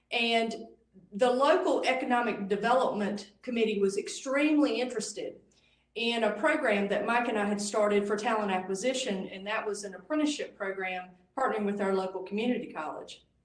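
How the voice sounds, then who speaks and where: Speaking fairly quickly in a Southern US accent, a woman has a fairly high pitch and ordinary pitch variation, with audible room echo. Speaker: conference speaker. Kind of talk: presentation. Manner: drops the g in -ing.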